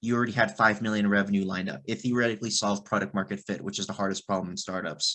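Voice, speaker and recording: The man's tone is bright and sharp, set against a quiet background. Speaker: marketing executive. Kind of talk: guest talk. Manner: halting.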